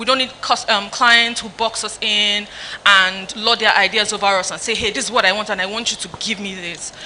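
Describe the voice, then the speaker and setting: Over noticeable background noise, a woman with a fairly high voice speaks at a fairly quick pace. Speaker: fashion stylist and content creator. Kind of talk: panel discussion. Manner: halting.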